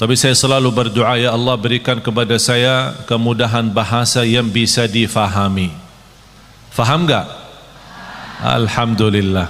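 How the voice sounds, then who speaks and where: Against noticeable background noise and audible room echo, a man at medium pitch speaks fairly slowly with fairly even intonation and very even loudness. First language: not Indonesian (speaking Indonesian). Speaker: Islamic preacher. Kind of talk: sermon.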